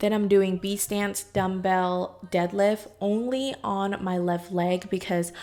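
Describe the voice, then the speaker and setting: In a normal speaking voice, a woman talks fairly slowly at a medium pitch with fairly even intonation. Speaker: fitness vlogger. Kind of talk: workout vlog voiceover. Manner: casual.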